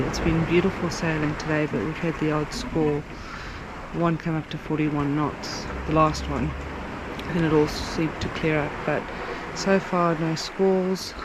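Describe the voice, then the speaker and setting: Audible room echo and noticeable background noise surround a woman's very deep, low-pitched voice. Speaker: sailing vlogger. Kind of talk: casual vlog narration. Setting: on a sailboat at night. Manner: whispering.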